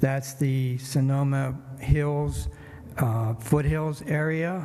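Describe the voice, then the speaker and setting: A man with a fairly high pitch talks in fairly even intonation, his voice carrying audible room echo. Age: 70s. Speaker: city council candidate. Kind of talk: campaign speech. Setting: church event.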